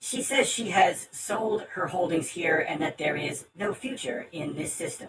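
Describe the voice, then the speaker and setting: In a put-on character voice at a middle pitch, the speaker moves at a moderate pace with hardly any pauses. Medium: actual play. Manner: formal, stilted, speaks of its owner as "she says".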